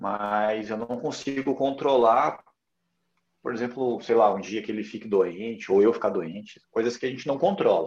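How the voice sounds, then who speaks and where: A man speaks at a medium pitch in a plain, everyday voice. His pitch varies in an ordinary way, and his pace is moderate. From Curitiba, southern Brazil. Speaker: personal trainer. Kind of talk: casual interview. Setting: livestream.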